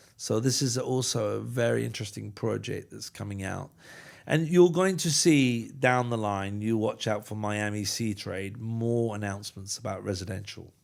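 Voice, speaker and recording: On a very clean recording with a silent background, a man in a normal speaking voice talks at a moderate pace with a fairly low pitch and ordinary pitch variation. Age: 60s. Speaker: cruise industry executive. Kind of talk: podcast interview.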